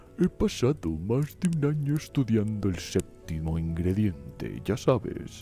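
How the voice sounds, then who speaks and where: A man puts on a character voice at a fairly low pitch with very wide pitch swings. He speaks at a fairly slow pace with hardly any pauses as clear music plays in the background. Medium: read story. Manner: casual and fussy.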